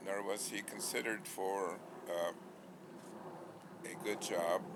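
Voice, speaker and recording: A man with an American accent speaks at a fairly slow pace in a fairly low pitch, with noticeable background noise. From US Midwest, Gary, Indiana. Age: 90s. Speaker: scientist and newspaper publisher. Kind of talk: oral history interview. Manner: halting, with fillers.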